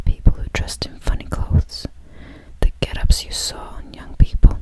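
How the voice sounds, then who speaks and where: Amid noticeable background noise, a woman whispers at a fairly slow pace. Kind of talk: whispered audiobook-style reading of a novel. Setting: studio. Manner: slow, hushed, with occasional restarts.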